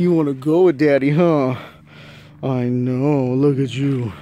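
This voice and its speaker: A man's dark, mellow voice at a fairly slow pace, with fairly even intonation and a dry sound with no echo. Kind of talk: casual vlog chat. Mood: affectionate, laughing. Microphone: phone near.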